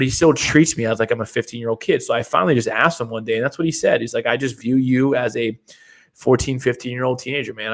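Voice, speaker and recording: A man with a medium pitch uses a normal speaking voice and fairly even intonation. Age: 30s. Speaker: podcast co-host. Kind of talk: casual chat.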